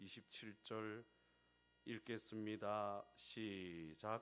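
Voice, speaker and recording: With a Gyeongsang accent, a man speaks at a fairly low pitch with fairly even intonation. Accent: Gyeongsang dialect pronunciation. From Gyeongsang region, South Korea. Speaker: pastor. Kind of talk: sermon. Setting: church. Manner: emphatic, repetitive rhetorical cadence.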